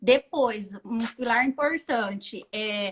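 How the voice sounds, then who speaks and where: This woman has a high-pitched voice. Her tone is bright and sharp. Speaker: dressmaker and bridal atelier owner. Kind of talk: interview, teaching tips.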